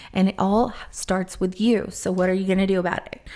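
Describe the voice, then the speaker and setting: A woman's dark, mellow voice at a medium pitch and a fairly quick pace. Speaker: tarot reader. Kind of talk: tarot reading. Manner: hesitant, filler-heavy.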